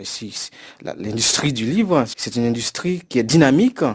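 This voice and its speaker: A man is speaking. His intonation is lively. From Haiti. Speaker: university professor. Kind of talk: interview. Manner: hesitant with fillers.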